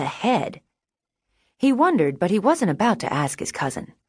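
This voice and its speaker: Using vocal fry and very wide pitch swings, a woman speaks in an animated tone at a fairly quick pace. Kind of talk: audiobook narration of a children's animal story. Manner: animated, storyteller delivery with shifting character voices.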